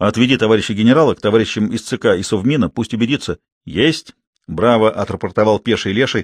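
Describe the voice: Plain reading aloud over a quiet background, the pitch varying in an ordinary way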